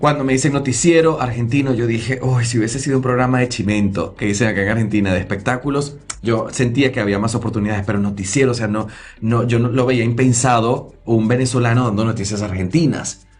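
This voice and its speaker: Over noticeable background noise and audible room echo, a man with a medium pitch talks at a very fast pace in an animated tone. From Venezuela, Lara state near Barquisimeto. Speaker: TV news presenter. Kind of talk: interview storytelling.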